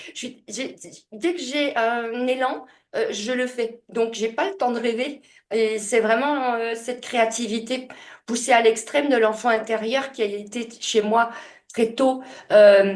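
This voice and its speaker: Against a quiet background, a woman speaks at a very slow pace, her fairly high voice holding fairly even intonation. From France, Franche-Comté (Besançon). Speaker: author, speaker and medium. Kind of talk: interview testimony. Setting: podcast interview. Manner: hesitant, many fillers and repetitions.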